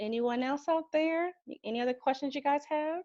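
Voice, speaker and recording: Dry and close with no echo over a quiet background, a woman speaks at a high pitch with a dark, mellow tone. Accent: Southern US. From US South. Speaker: financial advisor. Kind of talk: Q&A on a group video call.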